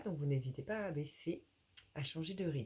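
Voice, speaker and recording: A soft-spoken woman talks in a calm tone over noticeable background noise. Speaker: yoga teacher. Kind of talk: guided yoga class. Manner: calm, hesitant with fillers.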